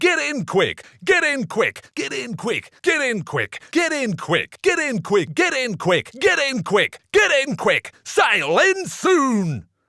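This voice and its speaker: The put-on character voice moves at a fairly slow pace. Its pitch is high. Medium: voice reel. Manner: repetitive, varied takes.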